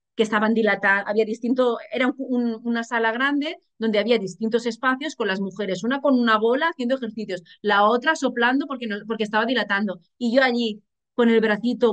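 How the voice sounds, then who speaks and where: Speaking at a moderate pace, a woman uses a fairly high pitch with ordinary variation and an animated tone. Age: 40s. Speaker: journalist and single mother. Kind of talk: casual interview.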